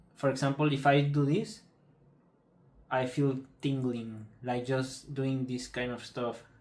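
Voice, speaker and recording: A man with a Spanish accent speaks at a fairly high pitch and a fairly slow pace. Room echo is audible. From Mexico. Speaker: patient telling his illness story. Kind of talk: personal testimony. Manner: halting, many fillers and repetitions.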